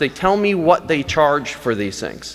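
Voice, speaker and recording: An animated tone over noticeable background noise. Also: man. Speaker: physician. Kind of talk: conference talk. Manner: fast.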